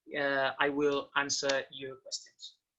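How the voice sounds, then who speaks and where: Speaking very slowly with a Spanish accent, a man has a bright, sharp tone. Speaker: basketball coach. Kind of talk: online lecture. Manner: halting.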